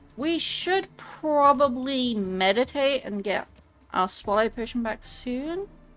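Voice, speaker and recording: Music plays behind a woman speaking at a very slow pace. Her pitch is high and her intonation lively. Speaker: streamer. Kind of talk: casual chat. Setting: treadmill while streaming.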